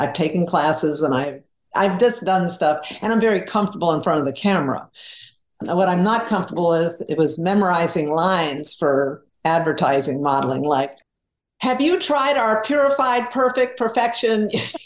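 Speaking at a moderate pace, a woman uses a fairly low pitch with very wide pitch swings. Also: very even loudness. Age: 70s. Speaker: author and humorist. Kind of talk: casual interview chat.

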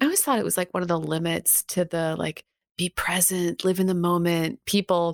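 A woman with a Canadian accent speaks in a plain, everyday voice, fairly low in pitch with fairly even intonation, at a fairly quick pace. The recording is very clean with a silent background and a dry, close sound with no echo. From Canada. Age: 40s. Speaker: podcast host and historian. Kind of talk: interview.

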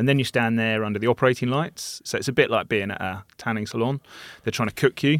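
A man with a British accent talks at a very fast pace in a medium pitch with ordinary pitch variation, on a very clean recording with a silent background and a dry, close sound with no echo. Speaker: surgeon. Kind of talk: casual interview chat.

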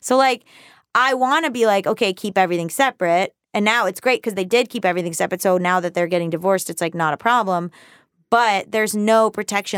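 A woman with an American accent and an unremarkable speaking voice talks fairly quickly at a medium pitch with ordinary pitch variation, recorded very cleanly against a silent background with a dry, close sound and no echo. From US South. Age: 30s. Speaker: writer and personal finance author. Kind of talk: casual chat.

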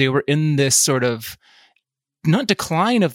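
The recording is very clean, and the background is silent. A man talks with vocal fry. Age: 40s. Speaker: culture writer. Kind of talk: casual interview chat.

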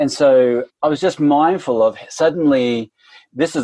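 A man speaks with an Australian accent in a dark, mellow tone. The sound is dry and close, with no echo. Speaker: literary theory academic. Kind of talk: casual interview chat.

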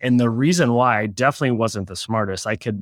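A man with an American accent and a normal speaking voice talks at a fairly quick pace with medium pitch and fairly even intonation, on a very clean recording with a silent background and a dry, close sound with no echo. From Oklahoma City, US. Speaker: e-commerce agency founder. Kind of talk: interview.

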